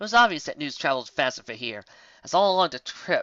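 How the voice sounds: The speaker uses a natural reading voice.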